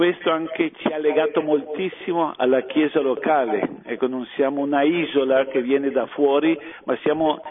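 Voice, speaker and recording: A man speaks at a moderate pace with a fairly high pitch and fairly even intonation. Noticeable background noise sits behind him. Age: old. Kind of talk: radio round-table talk.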